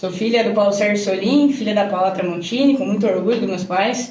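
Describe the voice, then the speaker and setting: A woman with a Rio Grande do Sul accent talks at a moderate pace and medium pitch. Noticeable background noise and audible room echo surround her voice. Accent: southern Brazilian gaúcho Portuguese. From Brazil, Rio Grande do Sul. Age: 20s. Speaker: agronomist and farmer. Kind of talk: podcast interview.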